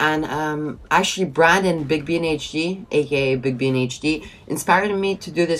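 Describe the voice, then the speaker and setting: A woman's very deep, low voice with a Quebec accent. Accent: Québécois French accent in English. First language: French. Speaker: gaming video commentator. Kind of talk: casual commentary monologue. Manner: stuttering.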